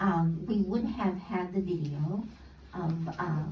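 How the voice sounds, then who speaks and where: A woman's fairly even intonation, with audible room echo and noticeable background noise. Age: 80s+. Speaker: guest speaker, music teacher. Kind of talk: talk to a congregation. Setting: church service. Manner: halting, many fillers.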